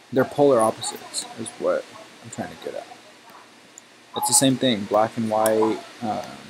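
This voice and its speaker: A man with long, frequent pauses and noticeable background noise. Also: moderate pace. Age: 20s. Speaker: gaming streamer. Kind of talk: casual chat. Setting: live stream, webcam off. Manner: chatty, filler-heavy.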